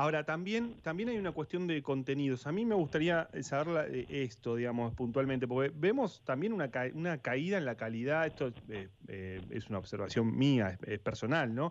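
Over a quiet background, the voice moves at a moderate pace with very wide pitch swings and hardly any pauses. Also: man, fairly high pitch for a man. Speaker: sports radio host. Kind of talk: radio talk show. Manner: halting, many fillers.

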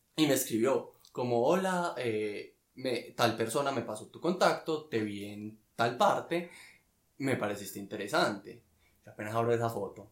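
A man with a plain, everyday voice, medium pitch, lively intonation, fairly slow pace and big swings in loudness. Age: 20s. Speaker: architect. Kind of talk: casual chat.

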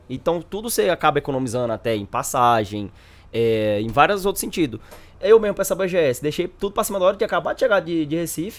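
A man with a fairly high voice talks very fast, his pitch swinging very widely. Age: 20s. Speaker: gamer guest. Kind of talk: casual chat.

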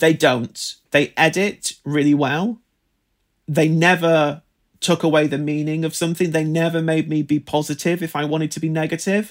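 A fairly high-pitched man at a moderate pace, monotone and flat, on a very clean recording with a silent background. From northern England, rural area near Manchester. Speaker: fashion critic and editor. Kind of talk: interview.

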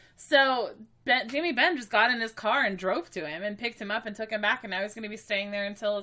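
A woman's voice with a bright, sharp tone. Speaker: sports podcast co-host. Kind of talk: casual chat.

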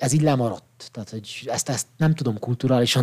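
This man talks at a very fast pace. His pitch is medium, with ordinary variation. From Székely Land, Romania (Csíkmadaras). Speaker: psychologist and photographer. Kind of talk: casual chat. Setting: studio.

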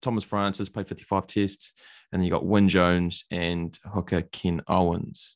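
With a New Zealand accent, a man talks at a moderate pace in a very deep, low voice, his intonation monotone and flat, the sound dry and close with no echo against a quiet background. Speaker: podcast host. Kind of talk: casual interview chat.

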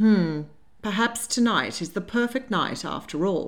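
A natural voice reads the words aloud.

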